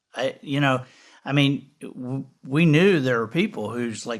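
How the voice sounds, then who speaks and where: A man speaks at a fairly slow pace with ordinary pitch variation, on a very clean recording with a silent background. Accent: Southern US. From US South. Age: 60s. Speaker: podcast host. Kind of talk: casual interview chat. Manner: halting, many restarts.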